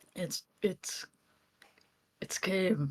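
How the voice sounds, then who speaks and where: A man puts on a gruff character voice pitched high for a man. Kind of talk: comic overacting. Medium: actual play. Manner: brash and dismissive.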